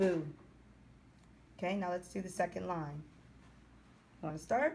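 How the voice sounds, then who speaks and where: A woman with a fairly low pitch, vocal fry and ordinary pitch variation. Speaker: Hebrew language teacher. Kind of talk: tutorial. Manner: slow.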